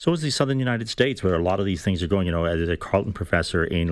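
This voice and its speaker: A man's fairly low voice at a very fast pace in a very clean recording with a silent background. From Ireland. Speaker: former government official, political commentator. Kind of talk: radio panel discussion.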